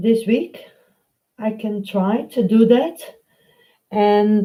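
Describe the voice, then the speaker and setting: The voice has a Dutch accent and a dark, mellow tone. It moves at a very slow pace. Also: woman. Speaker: painting tutor. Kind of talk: live stream painting tutorial. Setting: live stream. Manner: halting, many fillers.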